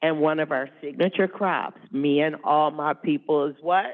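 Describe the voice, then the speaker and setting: Speech at a fairly slow pace in an American accent. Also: woman. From Philadelphia, US. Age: 60s. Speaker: nonprofit executive director and keynote speaker. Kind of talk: keynote talk. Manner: conversational, animated.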